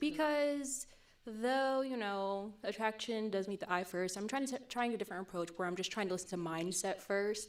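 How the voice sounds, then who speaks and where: A woman's voice with ordinary pitch variation. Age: 20s. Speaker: dating show contestant, consultant and model. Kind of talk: casual chat.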